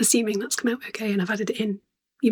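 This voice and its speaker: Quiet speech with a British accent. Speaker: spinning vlogger. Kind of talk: casual vlog. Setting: at home at night. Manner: quiet, hesitant with ums.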